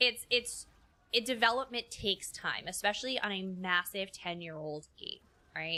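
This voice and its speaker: With a New York accent, a woman speaks at a moderate pace and medium pitch in a bright, sharp tone, with ordinary pitch variation and big swings in loudness. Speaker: game streamer. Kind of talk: casual chat. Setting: live stream. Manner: halting, repeats words.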